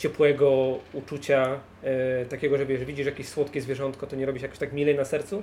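A man's voice, fairly high in pitch. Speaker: board game podcaster. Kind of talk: casual chat. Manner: joking, relaxed.

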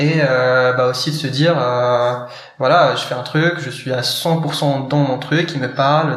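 A man's monotone, flat delivery comes through audible room echo and noticeable background noise. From Morocco. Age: 20s. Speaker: startup co-founder. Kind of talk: casual interview. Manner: hesitant, many fillers.

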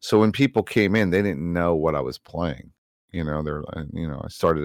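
Very cleanly recorded with a silent background and a dry, close sound free of echo, a man speaks in a very deep, low pitch with vocal fry and ordinary pitch variation. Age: 50s. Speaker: game streamer and retired police officer. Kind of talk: casual chat.

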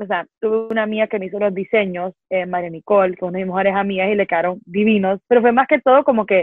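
A woman with a Honduran accent at a fairly quick pace. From Honduras. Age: 20s. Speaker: poet and author, university student. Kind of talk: interview.

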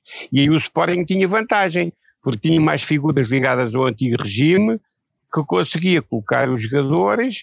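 Dry and close with no echo, a man speaks at a moderate pace with very wide pitch swings. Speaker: club historian. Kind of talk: casual chat.

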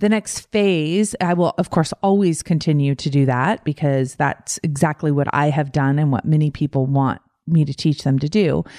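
A woman with a very deep, low pitch and a dark, mellow tone speaks at a moderate pace, hardly pausing. Her loudness is very even, her pitch varies in an ordinary way, and the sound is dry and close with no echo. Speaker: life coach podcast host. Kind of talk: solo podcast monologue.

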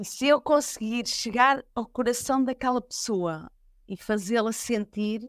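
Dry and close with no echo, a woman speaks at a fairly slow pace with fairly high pitch and ordinary pitch variation. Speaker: fado singer. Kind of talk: interview.

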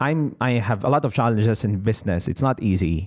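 A man speaks at a moderate pace with a Filipino accent. The recording is very clean, with a silent background. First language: Tagalog. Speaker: business coach podcaster. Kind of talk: motivational talk. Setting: solo podcast recording.

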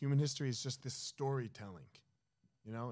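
With an American accent and a normal speaking voice, a man speaks at a fairly quick pace with ordinary pitch variation, in a very clean recording with a silent background. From New Jersey. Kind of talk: casual chat.

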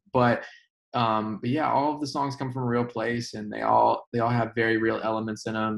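At a fairly quick pace, a man with an American accent talks at a medium pitch in an unremarkable speaking voice. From Indiana. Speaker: country singer. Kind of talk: casual interview.

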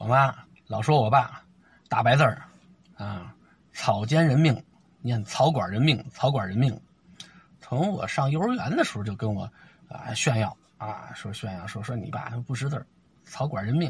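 At a moderate pace, a man with a somewhat breathy, medium-pitched voice speaks with lively intonation and long, frequent pauses. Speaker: storyteller podcaster. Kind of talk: storytelling monologue. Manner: animated.

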